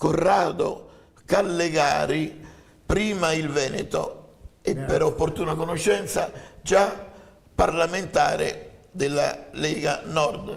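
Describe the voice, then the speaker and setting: A man puts on a hoarse character voice at a high pitch. He speaks at a fairly slow pace with long, frequent pauses and audible echo. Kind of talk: formal, introducing a person.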